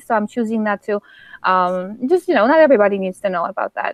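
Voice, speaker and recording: With a Polish accent, a woman speaks very fast in a fairly high pitch. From Poland. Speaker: author. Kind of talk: interview. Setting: live stream. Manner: halting.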